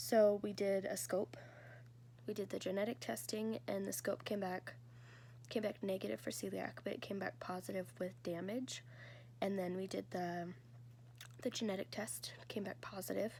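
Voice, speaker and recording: A woman with a fairly low pitch and a dark, mellow tone shows vocal fry and very wide pitch swings. She leaves long, frequent pauses. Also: moderate pace. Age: 20s. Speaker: vlogger sharing health story. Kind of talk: personal testimony. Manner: casual, hesitant.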